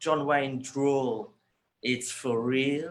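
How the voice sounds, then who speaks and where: This is a man's voice. He speaks with a Birmingham accent. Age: 60s. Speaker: hairdresser. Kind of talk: interview.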